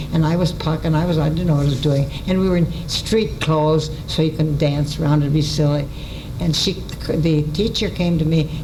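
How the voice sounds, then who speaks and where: A woman with an American accent speaks at a moderate pace in a very deep, low pitch, with fairly even intonation and very even loudness. Audible room echo and noticeable background noise are present. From US Midwest. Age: 90s. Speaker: radio writer and performer. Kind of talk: storytelling talk. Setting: stage with audience. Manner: halting.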